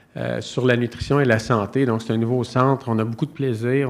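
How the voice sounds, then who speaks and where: A man with a Quebec accent speaks in a medium pitch at a moderate pace. The recording is very clean, with a silent background. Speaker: nutrition professor. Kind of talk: conference talk. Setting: conference stage with audience. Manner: hesitant, many fillers.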